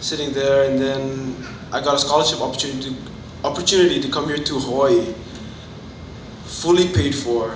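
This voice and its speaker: Through noticeable background noise and audible room echo, a man speaks at a medium pitch with ordinary pitch variation. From Fiji. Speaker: college student. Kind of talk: testimony. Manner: halting.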